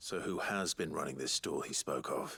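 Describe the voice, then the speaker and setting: Using a put-on character voice, a man sounds raspy at a moderate pace, with a dry, close sound and no echo. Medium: video game. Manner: calm, dry.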